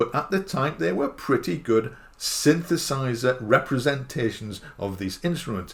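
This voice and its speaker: Lively intonation in a northeast English accent, somewhat breathy. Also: man, medium pitch for a man, moderate pace. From northeast England. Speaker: musician and YouTuber. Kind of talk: casual talk to camera.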